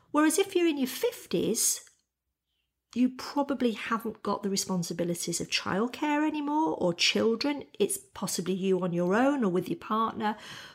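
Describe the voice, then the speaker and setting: At a moderate pace, a woman talks with a fairly high pitch and a somewhat breathy sound. Her pitch swings very widely over a very clean recording with a silent background. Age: 40s. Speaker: novelist. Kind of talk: casual chat. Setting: home kitchen.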